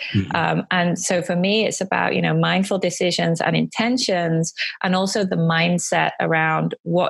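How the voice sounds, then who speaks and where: At a fairly slow pace, a woman talks with a British accent. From United Kingdom. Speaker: life coach and entrepreneur. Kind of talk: interview answer.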